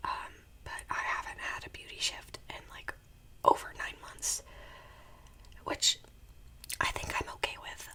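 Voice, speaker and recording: Whispering at a fairly slow pace, a woman uses a soothing tone with big swings in loudness and long, frequent pauses, over noticeable background noise. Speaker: ASMR creator; part-time retail worker and full-time student. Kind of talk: whispered ramble while eating, casual talk to camera. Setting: home recording with a desktop USB microphone. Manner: whispering, soothing, chatty.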